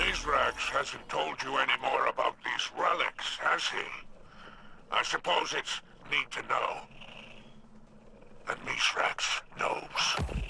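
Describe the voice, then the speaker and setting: A put-on character voice at a fairly slow pace, with long, frequent pauses and clear background noise. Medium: video game. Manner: sly, drawling, amused.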